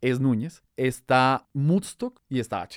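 With a plain, everyday voice, a man speaks at a medium pitch with ordinary pitch variation. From Colombia (Bogotá, raised partly in Barranquilla). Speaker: journalist. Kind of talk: casual chat.

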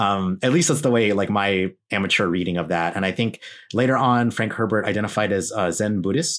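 A man with an American accent speaks at a fairly quick pace in an ordinary speaking voice, his pitch fairly low with ordinary variation. The recording is very clean with a silent background, and his loudness stays very even. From US, Filipino American family. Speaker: podcast host, guest on this show. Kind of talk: casual chat.

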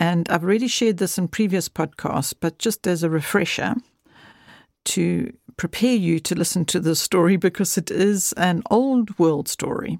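In a dry, close recording with no echo and a very clean, silent background, a woman with a normal speaking voice talks at a moderate pace with ordinary pitch variation. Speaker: podcast host. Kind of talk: casual intro to podcast. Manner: warm, friendly, conversational.

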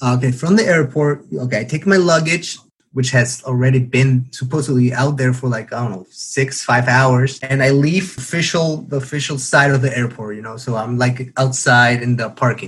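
Speaking with a Spanish accent, a man with a medium pitch and ordinary pitch variation talks at a moderate pace with hardly any pauses. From Paraguay. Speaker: international graduate student. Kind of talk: interview. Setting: remote call.

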